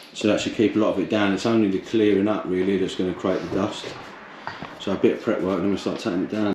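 A man talks very fast in a fairly low pitch. His intonation is flat and monotone, with noticeable background noise. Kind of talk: casual vlog chat. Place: home room. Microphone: phone near.

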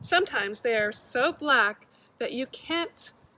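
Very slowly, a woman speaks in a high pitch with a bright, sharp tone and lively intonation. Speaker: garden educator. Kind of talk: children's lesson and read-aloud. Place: garden. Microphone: phone near.

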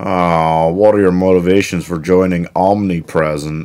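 A man speaks with a very deep, low pitch. Faint music plays in the background. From United Kingdom. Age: 20s. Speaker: YouTuber and job seeker; comedy youtuber. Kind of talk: comedic vlog. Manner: animated. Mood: weary, sarcastic, frustrated. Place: home room.

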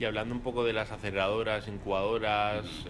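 Over light background noise, a man speaks at a fairly low pitch in a flat monotone. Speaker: event host and interviewer at a law firm; event host, interviewer at a law firm. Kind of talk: live event moderation and interview. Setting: room with live audience, no microphone. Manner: halting with repetitions. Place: hall. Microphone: speaking without microphone; camera far.

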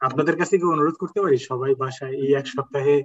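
With a fairly high pitch and ordinary pitch variation, a man speaks in a plain, everyday voice. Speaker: Quran Arabic teacher. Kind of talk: online class.

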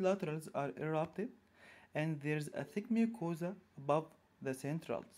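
Speaking with an Arabic accent, a man uses lively intonation in a high-pitched voice with a dark, mellow tone. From Egypt. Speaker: orthodontist. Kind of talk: lecture.

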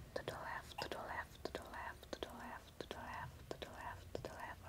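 A woman speaks in a soft-spoken way. Loud background noise surrounds her voice. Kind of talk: soft-spoken role-play, addressing viewer. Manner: soft, slow guiding voice. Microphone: webcam.

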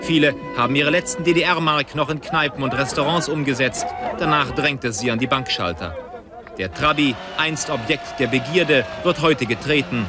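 A man speaks at a moderate pace with a fairly high pitch and ordinary pitch variation. Music plays in the background. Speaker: TV reporter (archive clip). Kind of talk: 1990 German TV news report narration. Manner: brisk, formal, newsreader-like.

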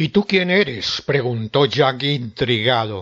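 A man speaks very slowly in a dramatic tone, his pitch swinging very widely. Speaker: storyteller narrator. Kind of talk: ghost story telling, scripted narration of a legend. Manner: dramatic, suspenseful, acting out the devil and Jack in different tones.

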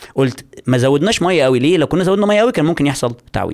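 This man talks at a very fast pace in an animated tone. His pitch swings very widely. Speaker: YouTuber and writer. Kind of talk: casual chat.

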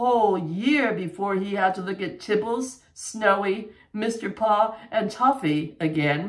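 What you hear is an unforced reading voice.

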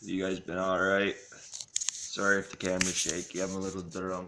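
Noticeable background noise sits behind a man speaking at a moderate pace with a very deep, low pitch and monotone, flat intonation. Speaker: vlogger. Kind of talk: casual vlog chat. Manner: tipsy, loose casual speech. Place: home room. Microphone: phone near.

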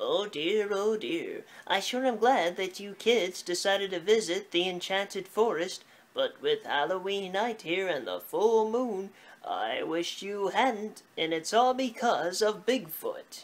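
A female-sounding cartoonish character voice talks at medium pitch and a fairly slow pace. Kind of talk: children's puppet show. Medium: puppet show. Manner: anxious, fussy, then boastful.

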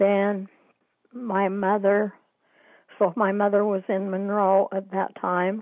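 A woman with an American accent, speaking at a very slow pace, with a dry sound with no echo and a quiet background. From Utah, US. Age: 80s. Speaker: interviewee, downwinder oral history participant. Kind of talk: oral history interview, recounting memories. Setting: phone call. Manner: hesitant, with fillers. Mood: reflective, somber. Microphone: phone line.

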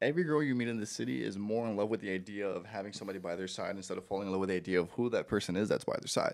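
Behind the voice, the background is quiet. A man talks at a very fast pace, his pitch varying in an ordinary way. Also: fairly low pitch for a man. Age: 30s. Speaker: podcaster. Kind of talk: casual chat. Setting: studio. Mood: joking, playful. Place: home room. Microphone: handheld.

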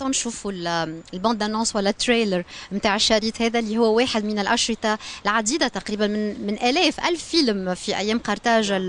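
Recorded dry with no echo, a woman with a Tunisian accent and fairly high pitch speaks at a very fast pace. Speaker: TV presenter. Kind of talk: interview. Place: stage. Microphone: handheld.

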